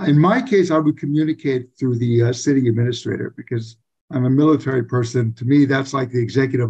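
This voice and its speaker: A man speaks fairly quickly in a somewhat breathy voice. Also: quiet background. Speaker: council candidate. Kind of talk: interview answer. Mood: earnest, measured. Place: home room. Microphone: video call.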